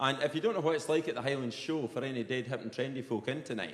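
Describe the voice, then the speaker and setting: A strong Perthshire accent over noticeable background noise. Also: man. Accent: broad Perthshire Scottish. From Scotland, Perthshire. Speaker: comedian. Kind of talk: stand-up. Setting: stage with audience. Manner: animated.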